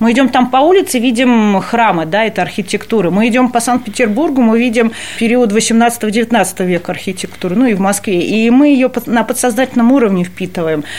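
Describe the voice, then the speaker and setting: A woman talks with a plain, everyday voice and lively intonation. Her pace is moderate. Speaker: cultural center staff member. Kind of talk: interview.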